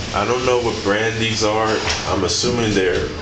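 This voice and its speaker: A man speaks with music playing in the background. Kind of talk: casual commentary. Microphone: phone near.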